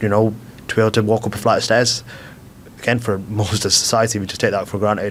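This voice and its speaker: Over noticeable background noise, a man with a British accent speaks very fast at a fairly low pitch, his intonation monotone and flat. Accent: regional British accent he calls dodgy. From UK. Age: 20s. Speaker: blind footballer. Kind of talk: podcast interview. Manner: fluent, chatty with many fillers and repeats.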